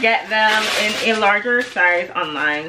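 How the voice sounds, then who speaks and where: A woman speaks with a Jamaican accent over light background noise. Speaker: lifestyle vlogger. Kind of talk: casual talk to camera. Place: home room.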